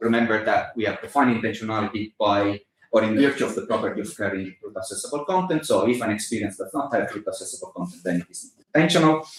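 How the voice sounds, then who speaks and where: A man with an Italian accent talks at a very fast pace and a medium pitch, with hardly any pauses. His intonation is lively, and his loudness swings widely. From Italy. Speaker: philosophy lecturer. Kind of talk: academic lecture. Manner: halting, many fillers.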